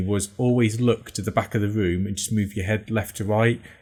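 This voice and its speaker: Somewhat breathy and fairly low-pitched, a man talks at a fairly quick pace in a monotone, flat intonation over a very clean recording with a silent background. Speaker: podcast host. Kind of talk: casual chat. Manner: fast.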